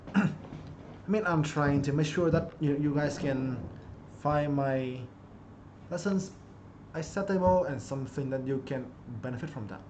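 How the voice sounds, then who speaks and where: A man's fairly high voice with a Vietnamese accent, moderate pace, ordinary pitch variation, long and frequent pauses, and audible room echo. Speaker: chess streamer and coach. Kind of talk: live-streamed chess lesson. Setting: live stream.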